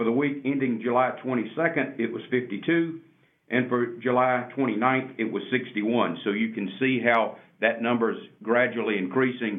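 The delivery is fairly slow, and the pitch shifts in a normal way. It is a plain, everyday voice. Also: man, medium pitch for a man. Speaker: city mayor.

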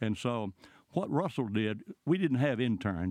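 A man with a Southern US accent, fairly low pitch, lively intonation and a moderate pace. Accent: Southern US (Georgia). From US South, rural Georgia. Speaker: former congressman. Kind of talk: interview.

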